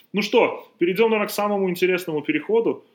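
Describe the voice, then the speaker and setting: A man at a very fast pace. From Belarus. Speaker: basketball podcast host and trainer. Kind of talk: casual chat. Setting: outdoors in the sun.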